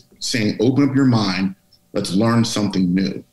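In an American accent, a man speaks with lively intonation amid audible room echo. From Pittsburgh, Pennsylvania. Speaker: author and diversity speaker; speaker. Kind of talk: interview. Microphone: video call.

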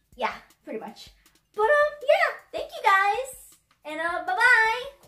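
A put-on character voice with extremely high pitch moves at a fairly slow pace. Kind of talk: amateur comic skit acting. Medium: comedy sketch. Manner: chirpy, bubbly.

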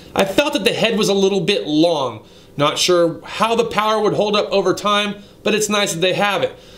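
Talking at a moderate pace, a man uses a high pitch and ordinary pitch variation. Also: very even loudness. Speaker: automotive tool reviewer. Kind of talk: casual vlog commentary. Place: shop. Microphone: phone near.

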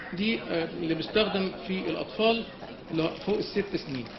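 A man's high-pitched voice at a fairly quick pace with ordinary pitch variation, over noticeable background noise. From Egypt. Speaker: pediatric pulmonology professor; workshop lecturer. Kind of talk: lecture. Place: hall. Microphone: camera far.

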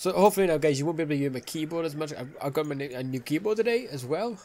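Pitched fairly high, a man speaks with lively intonation and a slightly mellow tone.

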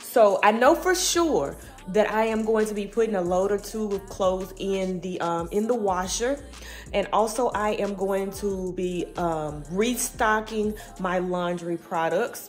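At a fairly slow pace, a woman speaks with ordinary pitch variation while faint music plays in the background. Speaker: home vlogger. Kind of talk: casual vlog chat. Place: home room. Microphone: phone near.

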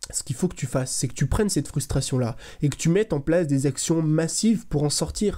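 A man talks at a fairly quick pace over a quiet background. His voice is fairly high-pitched with a dark, mellow tone and ordinary pitch variation. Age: 20s. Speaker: content creator, motivational youtuber. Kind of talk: motivational monologue to camera. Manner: casual, direct. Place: home room. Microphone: studio mic.

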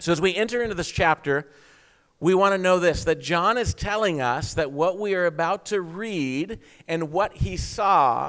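Against a quiet background, a man speaks at a high pitch with ordinary pitch variation. His pace is fairly slow. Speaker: preacher. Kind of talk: sermon. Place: church. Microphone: handheld.

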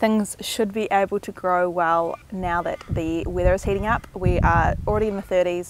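Speaking at a moderate pace with hardly any pauses, a woman keeps a monotone, flat intonation, in a dry sound with no echo over noticeable background noise. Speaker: home gardener vlogger. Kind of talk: casual vlog chat. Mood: cheerful, chatty. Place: garden. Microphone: phone near.

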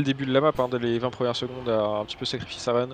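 A man rattles off words at a very fast pace in a monotone, flat intonation. The sound is dry with no echo, and there is light background noise. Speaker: esports co-caster. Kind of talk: live esports commentary. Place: home room. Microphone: headset.

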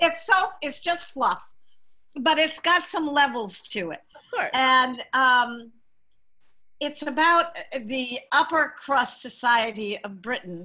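A woman with an American accent speaks in a raised, projected voice at a very slow pace, her high pitch and bright, sharp tone carrying lively intonation, big swings in loudness and long, frequent pauses over a quiet background. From Massachusetts, Boston area. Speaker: community theater director; guest. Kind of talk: casual interview. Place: home room. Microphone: video call.

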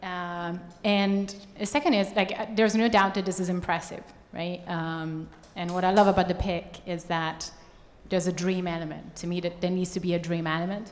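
A woman with a fairly low pitch speaks at a moderate pace, with few pauses and little pitch movement.

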